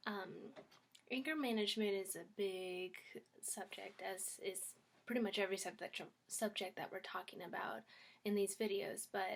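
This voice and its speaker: Quiet and at a medium pitch, a woman talks at a moderate pace with fairly even intonation and long, frequent pauses. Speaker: YouTuber. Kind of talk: casual vlog talk. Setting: at home.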